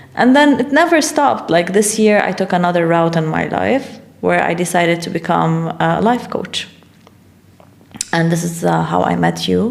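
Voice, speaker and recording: There is noticeable background noise behind the speaker. A woman talks at a moderate pace. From Middle East. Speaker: life coach and businesswoman. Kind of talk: podcast interview. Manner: casual, hesitant with fillers.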